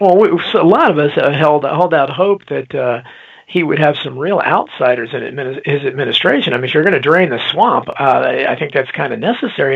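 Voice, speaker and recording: This man talks at a fairly quick pace with a fairly high pitch and ordinary pitch variation, over noticeable background noise. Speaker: talk show host. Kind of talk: podcast interview host.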